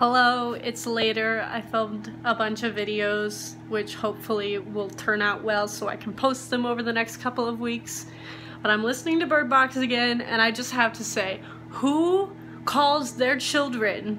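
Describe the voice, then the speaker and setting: A woman's voice with ordinary pitch variation over music in the background. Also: moderate pace. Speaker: book vlogger. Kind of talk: casual vlog chat. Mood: annoyed, amused, laughing. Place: home room. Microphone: phone near.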